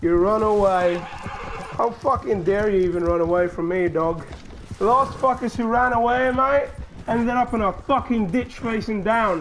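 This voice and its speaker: The speaker keeps a moderate pace. Noticeable background noise can be heard. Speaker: gamer. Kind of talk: angry rant, aggressive trash-talk at an online opponent while playing. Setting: gameplay recording, talking to other players online. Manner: loud, furious, snarling, profanity-filled, shouted taunts; animated, mocking, theatrical threats and insults.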